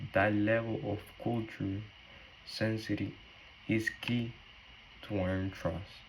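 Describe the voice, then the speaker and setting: A man with a Spanish accent speaks at a fairly slow pace with a fairly low pitch and monotone, flat intonation. Long, frequent pauses and audible room echo fill the clip. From Cuba. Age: 20s. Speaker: nursing student. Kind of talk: class presentation.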